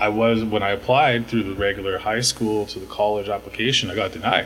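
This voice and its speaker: A man with a normal speaking voice, a fairly low pitch, a fairly quick pace, hardly any pauses, and fairly even intonation. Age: 40s. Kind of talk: interview. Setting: podcast.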